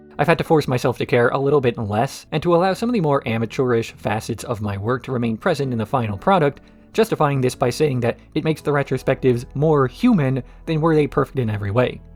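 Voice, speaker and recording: A man races along at a very fast pace with ordinary pitch variation as music plays in the background. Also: medium pitch for a man. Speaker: video essayist. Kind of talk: scripted narration.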